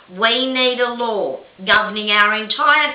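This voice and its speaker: A woman talks at a very slow pace with ordinary pitch variation. Audible room echo surrounds her voice. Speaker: video blogger and victims' rights advocate. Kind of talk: opinion monologue to camera. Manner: impassioned.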